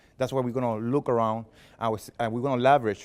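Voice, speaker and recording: A man's medium-pitched voice with a strong non-native accent, on a very clean recording with a silent background. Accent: heavy foreign. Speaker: filmmaker and production consultant presenting at a meetup. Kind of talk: workshop presentation. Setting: library meeting room with live audience. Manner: animated.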